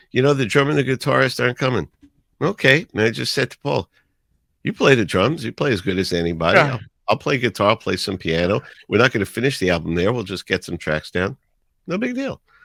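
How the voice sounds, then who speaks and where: In a New York accent, a man at a medium pitch talks at a very fast pace with very wide pitch swings, the sound dry and close with no echo. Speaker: radio DJ. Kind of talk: podcast interview answer.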